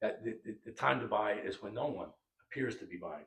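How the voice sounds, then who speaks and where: The man speaks at a fairly quick pace. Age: 60s. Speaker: real estate executive. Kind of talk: interview.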